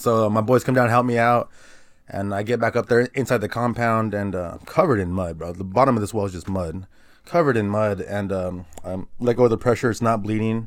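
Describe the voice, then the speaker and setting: With an American accent and a plain, everyday voice, a man speaks at a fairly quick pace and fairly low pitch with ordinary pitch variation, in a very clean recording with a silent background. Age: 30s. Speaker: guest. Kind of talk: casual chat. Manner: casual.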